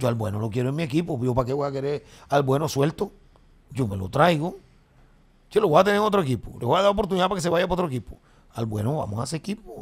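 A somewhat breathy man at a very fast pace, with very wide pitch swings and long, frequent pauses. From Colombia. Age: 50s. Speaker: comedian. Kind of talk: casual chat. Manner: animated. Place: studio. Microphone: studio mic.

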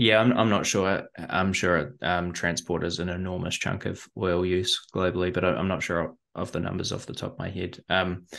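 A man with a low, fairly bright voice and vocal fry speaks at a moderate pace with few pauses. His pitch moves little.

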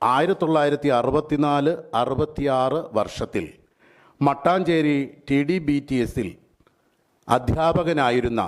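His pitch is fairly high, and this man varies it in an ordinary way. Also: very even loudness. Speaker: event organiser. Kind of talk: event announcement statement. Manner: halting.

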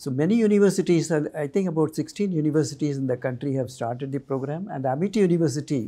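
His tone is dark and mellow, with lively intonation. The man talks at a fairly quick pace. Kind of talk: interview answer. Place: studio. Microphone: lapel.

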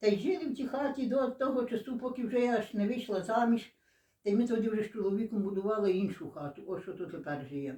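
A woman's fairly high, somewhat breathy voice carries a dark, mellow tone and lively intonation. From western Ukraine, Lviv region, Stryi district. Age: 80s+. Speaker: dialect informant. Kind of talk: oral history interview. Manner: halting.

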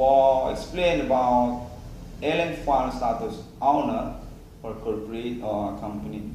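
At a fairly slow pace, a man talks amid audible room echo and light background noise. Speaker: video blogger. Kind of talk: rambling monologue. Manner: halting, disjointed. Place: empty room. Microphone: phone near.

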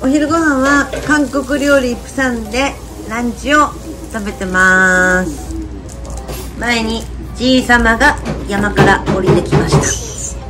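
Clear music plays in the background while a woman with a Fukuoka accent speaks very slowly, with long, frequent pauses. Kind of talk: casual chat at a meal. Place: cafe. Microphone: phone near.

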